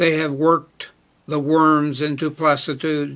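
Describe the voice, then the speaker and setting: A man with an American accent, fairly high pitch, monotone, flat intonation and a fairly slow pace. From Oklahoma. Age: 70s. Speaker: poet. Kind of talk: casual spoken introduction; poetry reading.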